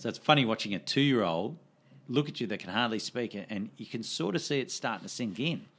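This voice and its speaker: A man with an Australian accent speaks at a very fast pace and medium pitch, his intonation lively. The recording is very clean, with a silent background. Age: 40s. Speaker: fight trainer and gym owner. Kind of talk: casual interview chat.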